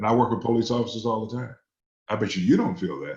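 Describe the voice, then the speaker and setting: With an American accent, a man talks in a somewhat breathy voice. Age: 60s. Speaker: politician, Senate candidate. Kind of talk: candidate forum interview.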